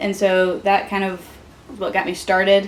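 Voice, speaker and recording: Noticeable background noise runs under the recording. A woman with a medium-pitched voice speaks at a moderate pace. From US South, rural Georgia. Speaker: student club president. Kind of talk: casual interview. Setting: video interview while tasting hot sauces.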